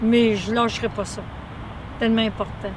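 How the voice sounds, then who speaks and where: A woman speaks at a fairly high pitch, with audible room echo. Noticeable background noise is present. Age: 60s. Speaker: runner giving a testimonial. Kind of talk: testimony. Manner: halting, many fillers.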